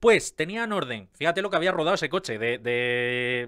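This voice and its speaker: A man talks in an animated tone. His pitch swings very widely. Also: quiet background. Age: 30s. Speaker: YouTuber on car maintenance. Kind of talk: casual video commentary. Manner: halting, with many fillers and repetitions. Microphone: studio mic.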